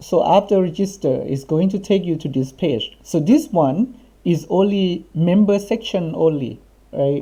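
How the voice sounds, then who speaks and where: A man with a Thai accent speaks in a high pitch with a dark, mellow tone. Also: lively intonation, fairly slow pace. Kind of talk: coding tutorial screencast. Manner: casual, conversational.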